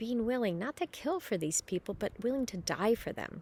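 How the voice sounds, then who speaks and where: A woman with an American accent and an unremarkable speaking voice, lively intonation, moderate pace. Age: 50s. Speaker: parishioner giving a scripture reflection. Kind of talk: spiritual reflection. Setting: outdoors.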